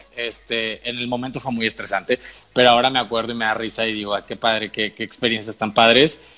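A man speaking at a very fast pace over music in the background. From Tamaulipas border region, Mexico / South Texas. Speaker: actor and writer. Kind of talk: interview.

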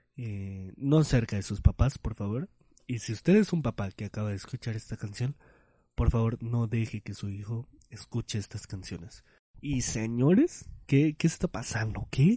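Against a quiet background, a man speaks at a medium pitch in a somewhat breathy voice, his loudness swinging widely and his pitch varying in an ordinary way. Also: dry, close sound with no echo. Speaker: podcast host. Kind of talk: casual monologue. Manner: animated.

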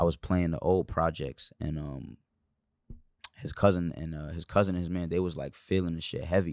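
On a very clean recording with a silent background, a man speaks at a moderate pace. His pitch is very deep and low, and his loudness swings widely. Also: ordinary pitch variation. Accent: New York. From New York, Brooklyn. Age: 20s. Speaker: rapper. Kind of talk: casual chat.

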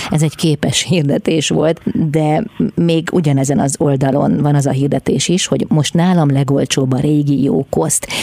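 Background noise is noticeable throughout. The pace of talking is moderate. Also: woman, very deep, low pitch for a woman, ordinary pitch variation, very even loudness. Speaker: radio host. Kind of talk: radio interview. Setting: studio. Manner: formal.

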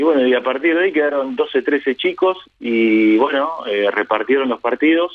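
A man's fairly high-pitched voice at a moderate pace, with very even loudness and ordinary pitch variation. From Argentina, Bragado (Buenos Aires province). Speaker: football radio commentator. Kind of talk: interview conversation. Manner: hesitant, many fillers and repetitions.

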